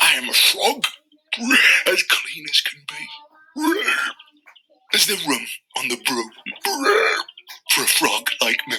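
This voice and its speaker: Using a put-on character voice, a man sounds croaky and leaves long, frequent pauses. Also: fairly slow pace. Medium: read story.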